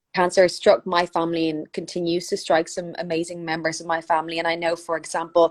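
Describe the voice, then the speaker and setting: With a strong Irish accent, a woman with a fairly low pitch talks very fast, in a monotone, flat intonation and with hardly any pauses, on a very clean recording with a silent background. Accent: thick Irish. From Ireland, Dublin. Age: 20s. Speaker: wig business founder. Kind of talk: casual interview.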